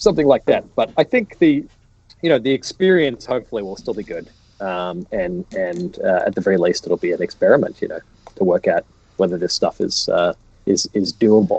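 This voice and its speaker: Fairly quick speech from a man with an Australian accent. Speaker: economics professor. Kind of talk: casual interview on a livestream. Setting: online livestream. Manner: halting, many restarts and fillers.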